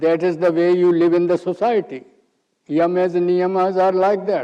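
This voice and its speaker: Speaking in an Indian accent, a man with a high pitch and a dark, mellow tone keeps a moderate pace, fairly even intonation and very even loudness. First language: Hindi. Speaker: yoga teacher. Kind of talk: lecture.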